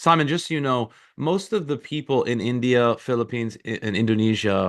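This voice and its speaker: Over a quiet background, a man with an ordinary speaking voice talks fairly quickly at a medium pitch with lively intonation. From US. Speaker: network marketing leader. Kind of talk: casual chat.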